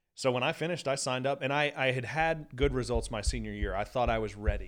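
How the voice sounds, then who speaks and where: Against a very clean recording with a silent background, a man with an American accent speaks at a fairly quick pace, using a medium pitch, ordinary pitch variation and vocal fry. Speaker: professional golfer. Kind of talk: casual chat. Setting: studio. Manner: loud.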